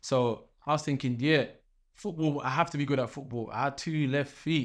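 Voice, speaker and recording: A man talks in a Nottingham accent. His pace is moderate. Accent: English Midlands, Nottingham. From England, Nottingham. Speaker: professional boxer. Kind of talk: casual interview.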